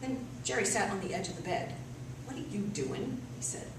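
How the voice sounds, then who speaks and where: A woman speaks with a New England accent. Noticeable background noise sits behind her. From Massachusetts. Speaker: storyteller. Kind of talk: live storytelling performance.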